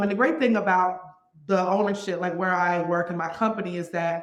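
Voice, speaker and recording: Audible room echo surrounds a woman of medium pitch talking in an animated tone at a fairly quick pace. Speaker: apartment community director. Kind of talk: interview. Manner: loud.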